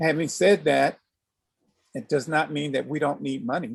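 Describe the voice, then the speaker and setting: The man speaking has a fairly high pitch. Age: 60s. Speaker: aikido teacher. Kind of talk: interview.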